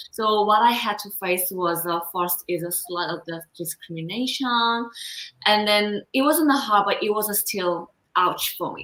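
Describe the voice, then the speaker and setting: A woman with a medium-pitched voice speaks at a fairly slow pace with ordinary pitch variation. Her loudness swings widely. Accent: Korean. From South Korea. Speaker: confidence coach. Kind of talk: interview.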